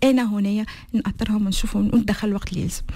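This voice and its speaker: Noticeable background noise sits behind this woman. She talks very fast at a fairly high pitch. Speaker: association founder. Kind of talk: interview. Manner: halting.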